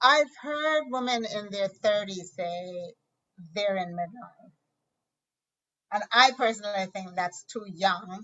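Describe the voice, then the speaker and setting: A woman with a plain, everyday voice speaks at a fairly slow pace in a medium pitch. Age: 60s. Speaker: podcast host. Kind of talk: interview.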